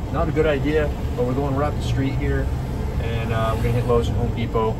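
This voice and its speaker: Speech comes at a fairly quick pace over loud background noise. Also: man. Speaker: vehicle owner vlogger. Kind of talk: casual vlog chat. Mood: relaxed, upbeat. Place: car. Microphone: phone near.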